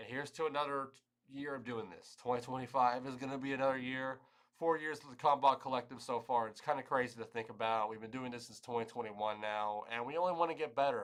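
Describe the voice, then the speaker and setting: The man talks at a very fast pace with fairly even intonation. His loudness swings widely. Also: medium pitch for a man. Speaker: live stream host. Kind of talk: live stream commentary.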